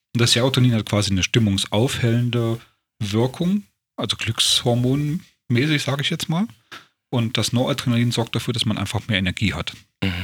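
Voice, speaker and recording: The pace is fairly quick as a man talks. A somewhat breathy quality marks his voice. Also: medium pitch for a man, ordinary pitch variation. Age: 40s. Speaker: self-help group organizer and podcast host. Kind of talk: casual chat.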